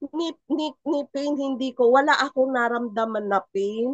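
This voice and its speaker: Using an animated tone, a woman talks at a high pitch. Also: dry, close sound with no echo. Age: 60s. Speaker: testimonial speaker. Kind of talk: testimony.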